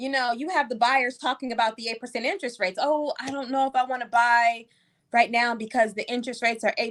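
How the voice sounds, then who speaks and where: A woman's high-pitched, animated voice at a fairly quick pace, in a very clean recording with a silent background. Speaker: real estate agent. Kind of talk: casual chat. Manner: fast.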